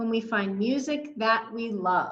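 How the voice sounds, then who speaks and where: Putting on a character voice, a woman speaks at a fairly slow pace. Her pitch varies in an ordinary way. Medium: read story.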